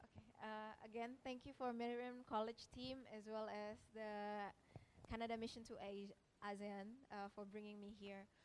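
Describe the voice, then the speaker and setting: A woman with an Indonesian accent speaks at a fairly high pitch and a moderate pace in a monotone, flat intonation. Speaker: researcher. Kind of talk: panel presentation. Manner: halting.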